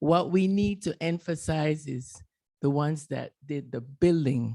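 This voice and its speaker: A woman's very deep, low-pitched voice, dark and mellow in tone, in a Panamanian Caribbean accent at a fairly slow pace with ordinary pitch variation. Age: 70s. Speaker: retired canal worker, audience member. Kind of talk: audience comment at panel discussion.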